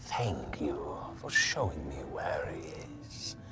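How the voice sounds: A put-on character voice at a fairly slow pace under loud background noise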